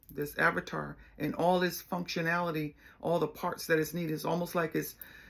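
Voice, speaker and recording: A woman talks at a fairly quick pace, her intonation monotone and flat. Vocal fry colors her voice on a very clean recording with a silent background. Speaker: life coach and spiritual healer. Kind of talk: solo spiritual talk. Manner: casual, conversational.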